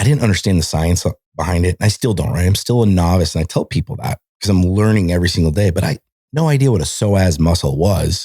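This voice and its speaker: With an American accent, a man talks at a very fast pace in a very deep, low, somewhat breathy voice with a dark, mellow tone, lively intonation and very even loudness, on a very clean recording with a silent background. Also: dry, close sound with no echo. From Montana, US. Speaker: military veteran. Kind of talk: casual chat. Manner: animated.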